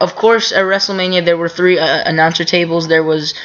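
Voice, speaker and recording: A woman speaks with a fairly low voice. Her intonation is monotone and flat. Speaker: wrestling commentary vlogger. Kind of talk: casual recap monologue. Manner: halting, many fillers.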